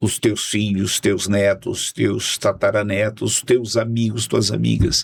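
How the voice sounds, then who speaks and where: The speech moves at a very slow pace with very even loudness and hardly any pauses. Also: man. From Brazil, Fortaleza, Ceará. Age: 60s. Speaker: pastor and politician. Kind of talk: casual podcast interview. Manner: halting, many repetitions.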